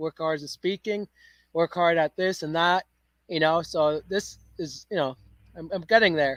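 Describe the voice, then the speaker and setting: Against a silent background in a very clean recording, the words come at a fairly slow pace. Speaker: podcast host. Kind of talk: casual podcast interview talk. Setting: outdoors.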